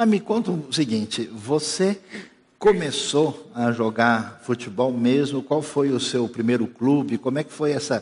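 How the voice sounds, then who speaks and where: A man speaks in a plain, everyday voice at medium pitch. His pace is fairly slow, with big swings in loudness. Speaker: pastor. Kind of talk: sermon. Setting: church.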